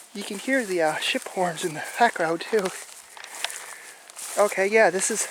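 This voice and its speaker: Long, frequent pauses mark speech at a moderate pace, with noticeable background noise. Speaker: YouTube explorer vlogger. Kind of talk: walking vlog narration. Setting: outdoors on an island. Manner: annoyed-sounding.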